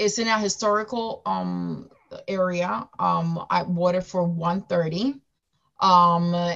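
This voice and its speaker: A woman's medium-pitched voice with a Spanish accent over a quiet background. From Dominican Republic. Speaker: school counselor and real estate investor. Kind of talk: interview. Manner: animated.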